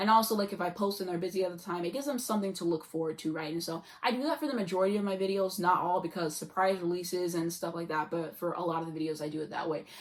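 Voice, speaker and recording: A woman's fairly low voice, very fast with hardly any pauses, ordinary pitch variation, and noticeable background noise. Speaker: YouTube vlogger. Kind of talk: casual vlog monologue.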